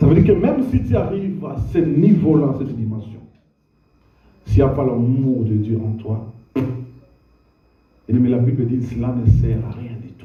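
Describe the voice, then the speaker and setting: Slow and somewhat breathy, a man at a medium pitch with a dark, mellow tone and ordinary pitch variation takes long, frequent pauses, his loudness swinging widely amid audible room echo. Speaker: pastor. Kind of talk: sermon.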